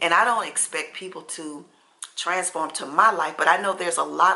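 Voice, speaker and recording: A woman's voice comes with noticeable background noise behind it. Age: 60s. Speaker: lifestyle vlogger. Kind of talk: casual chat. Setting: at home.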